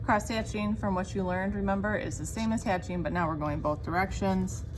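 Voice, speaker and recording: There is audible room echo around the voice. A woman talks at a fairly quick pace. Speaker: art teacher. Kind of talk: tutorial. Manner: fast; casual.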